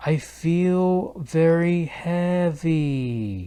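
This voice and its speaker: A put-on character voice at a middle pitch comes through a very clean recording with a silent background. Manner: low, heavy.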